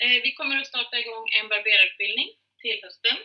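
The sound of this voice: Her voice is fairly high for a woman, with ordinary pitch variation.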